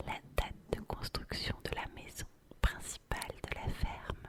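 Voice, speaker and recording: Whispering from a woman at a very slow pace, with noticeable background noise. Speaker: ASMR creator. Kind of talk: ASMR bedtime talk. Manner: whispered; repetitive, soft, slow.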